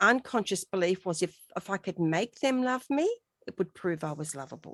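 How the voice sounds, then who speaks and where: Here a woman uses a normal speaking voice with medium pitch and lively intonation. Her moderate pace comes through in a dry, close sound with no echo. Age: 60s. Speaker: radio host. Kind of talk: interview conversation.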